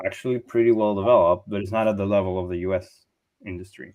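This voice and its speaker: Here a man talks at a fairly low pitch. He has a slight American accent. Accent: slight Hollywood-style American English. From Chile, Santiago. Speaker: software engineer. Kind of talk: panel Q&A. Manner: hesitant, many fillers.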